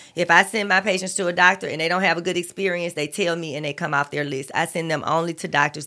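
A woman's fairly low-pitched, bright and sharp voice at a moderate pace, with ordinary pitch variation, in a very clean recording with a silent background. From Alabama. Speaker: physician. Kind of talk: joke telling; casual chat.

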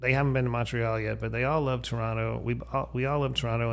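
A man with an American accent, plus audible room echo. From Erie, Pennsylvania. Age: 50s. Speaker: podcast host. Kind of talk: casual chat.

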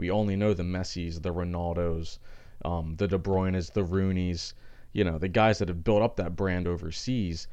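In an American accent, a man talks at a moderate pace with a very deep, low pitch, a dark, mellow tone and fairly even intonation, with audible room echo. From Philadelphia, US. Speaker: sports podcast host. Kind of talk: solo sports commentary podcast. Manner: casual, filler-heavy.

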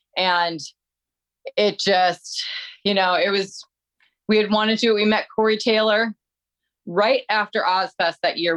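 A woman with an American accent speaks at a fairly slow pace, leaving long, frequent pauses. Her loudness stays very even, and the sound is dry and close with no echo. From Detroit, Michigan. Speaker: metal singer and personal trainer. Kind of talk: casual chat.

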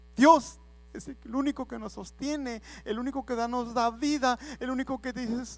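A man's extremely high-pitched voice, fairly even in intonation, at a moderate pace, on a very clean recording with a silent background. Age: 30s. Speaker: lay preacher. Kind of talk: sermon.

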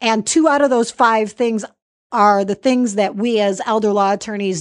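A woman with a plain, everyday voice speaks at a medium pitch. Her pace is moderate, with ordinary pitch variation. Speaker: podcast host and estate planning attorney. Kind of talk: podcast interview.

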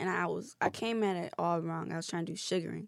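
A woman with vocal fry, in a very clean recording with a silent background. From Detroit, Michigan (east side). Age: 20s. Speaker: podcast guest. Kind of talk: casual chat. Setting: studio.

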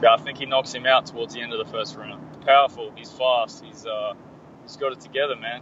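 Over noticeable background noise, a man with an Australian accent talks at a fairly quick pace, his loudness swinging widely. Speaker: mixed martial arts fighter. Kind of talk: interview.

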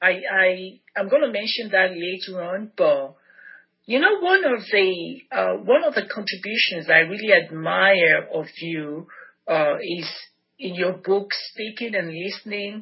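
A woman speaks with a Nigerian accent. Her pitch is medium. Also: ordinary pitch variation. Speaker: podcast host. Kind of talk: interview. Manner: animated.

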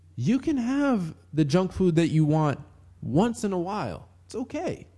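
A man with an American accent, a dark, mellow tone and very wide pitch swings, against a quiet background. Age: 20s. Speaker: podcast host. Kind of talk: solo podcast monologue. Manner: casual, laughing often.

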